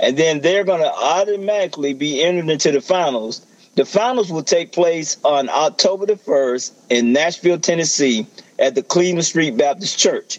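At a moderate pace, a high-pitched man with an American accent speaks with very even loudness and ordinary pitch variation. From rural US South. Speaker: pastor and gospel music promoter. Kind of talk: promotional talk.

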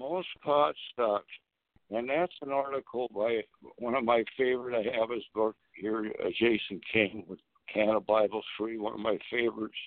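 A man's ordinary speaking voice at medium pitch and moderate pace, with ordinary pitch variation. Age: 50s. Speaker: cannabis activist and grower. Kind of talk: phone-in radio talk. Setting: phone call.

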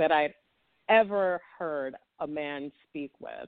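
Woman with a New York accent, at a very slow pace, with ordinary pitch variation. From Brooklyn, New York. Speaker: romance author. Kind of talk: interview.

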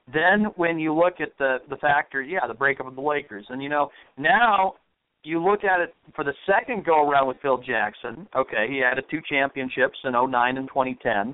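With a normal speaking voice and an American accent, a man talks at a moderate pace with lively intonation and a fairly high pitch. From Idaho, US. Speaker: sports radio co-host. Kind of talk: sports talk radio banter.

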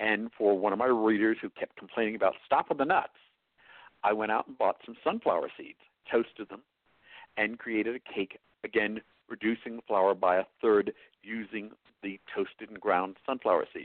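A man with a New York accent talks at a moderate pace with long, frequent pauses. His loudness swings in big jumps. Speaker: chef. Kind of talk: interview.

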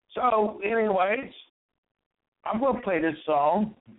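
With an American accent, a man speaks with lively intonation. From West Virginia. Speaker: online radio host. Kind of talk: radio DJ patter. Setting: online radio show. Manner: repetitive, plain, friendly sign-on and sign-off patter; rambling, halting, filler-heavy.

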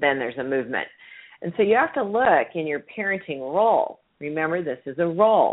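A woman speaks at a fairly quick pace. Her fairly low voice swings very widely in pitch. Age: 60s. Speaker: parenting radio show host. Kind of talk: call-in advice show.

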